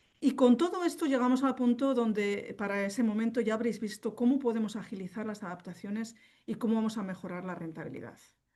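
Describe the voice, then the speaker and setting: Talking at a very fast pace, a woman uses a fairly high pitch with a dark, mellow tone and a somewhat breathy quality. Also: ordinary pitch variation. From northern Spain (Vitoria). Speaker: company representative, contact lens specialist. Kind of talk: webinar presentation. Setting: online webinar.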